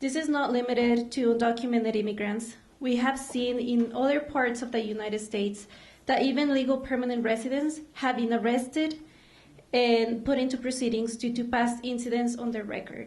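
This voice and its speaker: A high-pitched woman in a Mexican accent, with monotone, flat intonation, a fairly quick pace, and audible room echo. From Mexico. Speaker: immigrant rights advocate. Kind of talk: prepared speech. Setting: stage with audience.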